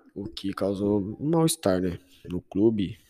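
With a dark, mellow tone and fairly low pitch, a man speaks at a moderate pace on a very clean recording with a silent background. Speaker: football podcast host, Santos fan. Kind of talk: solo casual commentary. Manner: informal, halting with filler words.

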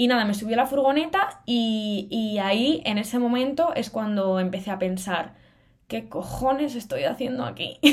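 A woman at a moderate pace, fairly high in pitch, with ordinary pitch variation. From Cantabria, northern Spain. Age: 20s. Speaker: podcast host, university student. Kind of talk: solo casual podcast monologue. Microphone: good-quality microphone.

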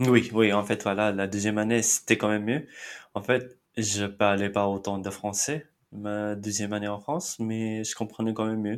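In a very clean recording with a silent background, a man with a fairly low pitch speaks at a moderate pace with fairly even intonation. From India, Mumbai. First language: Marathi (speaking French). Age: 30s. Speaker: immigrant interviewee. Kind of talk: interview.

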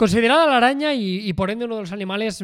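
Over a very clean recording with a silent background, a man speaks. His voice is high and his pace fairly quick. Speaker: travel podcast co-host. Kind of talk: casual chat.

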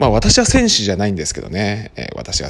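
A man speaks with a very deep, low pitch. Noticeable background noise is present. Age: 40s. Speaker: podcaster and volunteer firefighter. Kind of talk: casual solo monologue. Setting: office. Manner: mumbling; animated.

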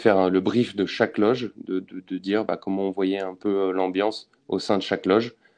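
Fairly low male voice against a quiet background. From France, Lorraine (Nancy). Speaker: rugby club sponsorship manager. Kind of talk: interview. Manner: hesitant, many fillers and repetitions.

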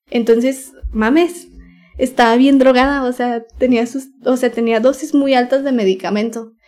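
A woman with a Mexican accent speaks at a fairly slow pace. Her voice is high, with fairly even intonation. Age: 20s. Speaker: former youtuber and singer. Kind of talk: personal story interview. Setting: home recording at night.

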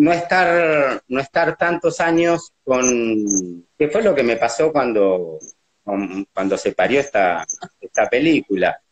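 Very slow and very even in loudness, a man's fairly high voice makes very wide pitch swings in a dry, close recording with no echo. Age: 60s. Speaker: documentary subject, brother of a disappeared person. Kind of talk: testimony. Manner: halting.

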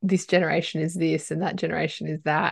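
Against a quiet background, a woman speaks at a fairly low pitch. Vocal fry runs through her voice. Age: 40s. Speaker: podcast host and leadership coach. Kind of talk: casual interview.

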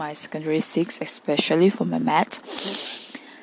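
Over noticeable background noise, a woman with a fairly low pitch speaks at a fairly slow pace with ordinary pitch variation. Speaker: university student. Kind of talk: solo spoken monologue. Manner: halting.

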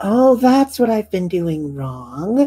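A put-on character voice, female-sounding and medium-pitched, with very wide pitch swings

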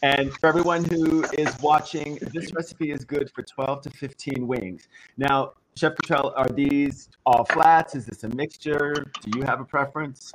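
Using a normal speaking voice, a man talks at a fairly slow pace and a fairly high pitch, keeping his intonation fairly even. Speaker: co-host. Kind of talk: casual livestream cooking show chat.

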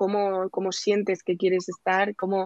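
At a moderate speed and a medium pitch, this woman talks in a plain, everyday voice. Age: 20s. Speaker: police exam tutor. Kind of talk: casual chat.

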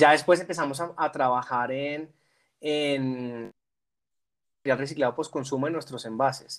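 Pausing long and often, a man speaks at a fairly slow pace with fairly even intonation. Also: fairly high pitch for a man. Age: 30s. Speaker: corporate sustainability manager. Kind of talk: interview. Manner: halting.

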